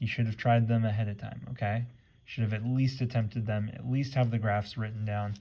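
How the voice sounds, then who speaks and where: The man's medium-pitched voice has a dark, mellow tone, is somewhat breathy and stays monotone and flat. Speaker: math teacher. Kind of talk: tutorial. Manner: fast.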